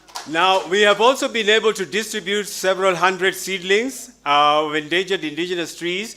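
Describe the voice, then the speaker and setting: A man's raised, projected voice sits high in pitch, with a bright, sharp tone at a moderate pace. The recording is very clean, with a silent background. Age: 60s. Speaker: conference presenter, conservationist. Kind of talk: conference presentation.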